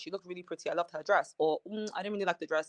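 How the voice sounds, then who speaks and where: A woman talks with a slight British accent. The sound is dry and close, with no echo. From Nigeria, then England from mid high school. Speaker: reality TV cast member. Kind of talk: interview.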